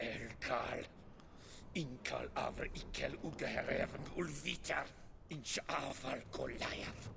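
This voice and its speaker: Someone whispers in a put-on character voice at a fairly slow pace over loud background noise. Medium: video game. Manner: angry, gurgling.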